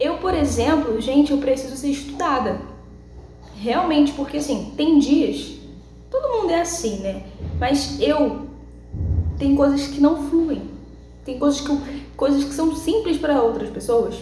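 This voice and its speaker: With audible room echo and noticeable background noise, a woman speaks in a high voice at a fairly slow pace, with long, frequent pauses and ordinary pitch variation. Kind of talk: devotional vlog talk.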